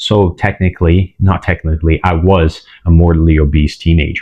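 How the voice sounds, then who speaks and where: A man with a Portuguese accent, very deep and low in pitch, at a moderate pace with fairly even intonation. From Brazil. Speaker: fitness vlogger. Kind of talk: personal testimony. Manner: hesitant, many fillers.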